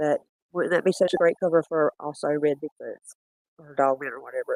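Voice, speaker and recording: A woman speaks with a Southern US accent. Her pitch is fairly low and her pace moderate. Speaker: bigfoot footage streamer. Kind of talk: livestream footage review. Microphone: audio issues, lost mic windscreen.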